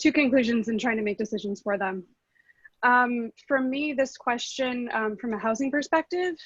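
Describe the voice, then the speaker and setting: Over a quiet background, a woman speaks at a fairly high pitch in a dry, close sound with no echo. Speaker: housing advocate panelist. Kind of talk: panel discussion. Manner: fast.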